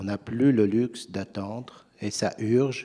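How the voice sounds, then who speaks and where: At a very slow pace, a man with a non-native accent speaks at a fairly low pitch in a dark, mellow tone. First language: not French (speaking French). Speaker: private equity investor. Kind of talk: panel discussion.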